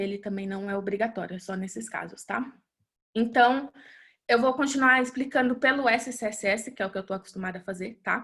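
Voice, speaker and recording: A woman speaks in a plain, everyday voice, fairly high in pitch. Her pace is fairly quick and her intonation fairly even. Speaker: web developer presenter. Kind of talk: webinar tutorial.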